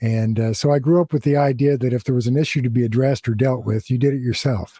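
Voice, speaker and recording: A man talks in a dark, mellow tone at a medium pitch. His voice is somewhat breathy, with fairly even intonation. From Southern California. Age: 70s. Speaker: former prison gang leader. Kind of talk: interview. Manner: halting.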